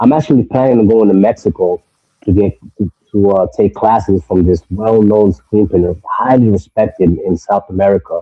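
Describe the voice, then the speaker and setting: In a New York accent, a man talks at a moderate pace with a fairly low pitch and ordinary pitch variation. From New York (Brentwood, Long Island). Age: 30s. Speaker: screen printer, clothing brand owner. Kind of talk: casual chat.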